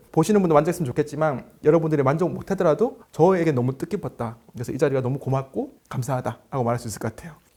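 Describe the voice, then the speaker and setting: A man with a fairly high pitch speaks at a very fast pace, with ordinary pitch variation and hardly any pauses. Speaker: fitness business consultant. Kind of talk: interview.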